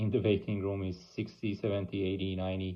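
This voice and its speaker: At a moderate pace, a man with a fairly low pitch speaks in an Iranian accent. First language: Persian. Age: 40s. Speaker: oncologist and cancer patient. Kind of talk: personal video blog. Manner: halting, many fillers.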